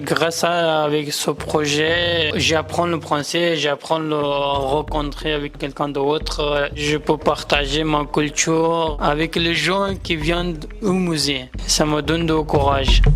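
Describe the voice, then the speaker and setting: A man's fairly high, monotone voice at a very slow pace, very even in loudness, with hardly any pauses and noticeable background noise. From Afghanistan. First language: Pashto and Dari (speaking French). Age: 20s. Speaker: asylum seeker. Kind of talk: testimony. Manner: halting, hesitant.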